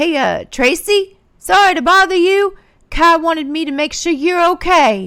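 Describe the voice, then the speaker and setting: Putting on a character voice, a woman projects a raised voice at an extremely high pitch and a moderate pace. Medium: read story.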